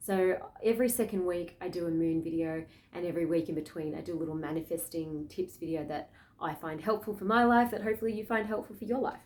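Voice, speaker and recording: A woman speaks with an Australian accent at a very fast pace. Her pitch is fairly low, with ordinary variation. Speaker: spiritual astrology vlogger. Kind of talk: casual spiritual talk to camera.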